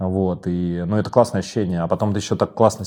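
Over a quiet background, a man with a very deep, low pitch and a dark, mellow tone speaks at a very fast pace. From Moscow. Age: young. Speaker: podcast host. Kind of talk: interview.

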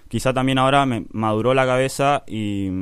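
This man speaks with an Argentine accent. His intonation stays fairly even. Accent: Argentine Spanish (Rioplatense). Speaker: rapper. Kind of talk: interview.

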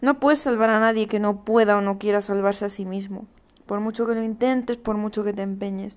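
An ordinary speaking voice from a woman, fairly high in pitch, fairly quick in pace, with fairly even intonation. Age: 20s. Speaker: podcast host. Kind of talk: solo podcast monologue. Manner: casual, chatty.

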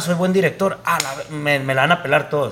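A man speaks at a fairly quick pace with ordinary pitch variation. Noticeable background noise is present. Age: 30s. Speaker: filmmaker. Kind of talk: casual chat.

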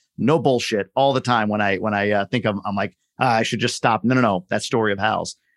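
A man speaks at a fairly quick pace in a normal speaking voice, his pitch fairly low. His intonation stays fairly even over a very clean recording with a silent background. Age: 40s. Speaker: podcast host. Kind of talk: podcast interview.

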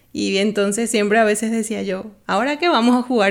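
The speech comes at a fairly quick pace. Background noise is noticeable. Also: woman. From Bolivia. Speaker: art production designer. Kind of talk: interview.

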